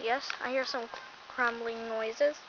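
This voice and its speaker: A woman uses a put-on character voice, fairly high in pitch and monotone, with flat intonation. She speaks at a moderate pace over clear background noise. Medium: solo performance.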